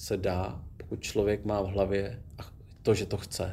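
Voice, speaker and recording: Audible room echo surrounds a man's dark, mellow voice as he talks at a fairly slow pace. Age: 40s. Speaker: former special forces soldier and rally rider, now city police officer. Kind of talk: casual interview. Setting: gym.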